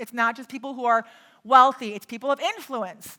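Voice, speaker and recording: Speaking at a very fast pace, a woman with an American accent has a high pitch and a bright, sharp tone. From US Midwest. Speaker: real estate investor and private money coach. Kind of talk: live workshop teaching.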